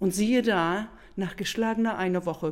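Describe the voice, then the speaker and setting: A woman's speech shows ordinary pitch variation and moves at a moderate pace. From northern Germany, between Bremen and Bremerhaven. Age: 50s. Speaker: hula hoop trainer in training. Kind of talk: interview storytelling. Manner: animated.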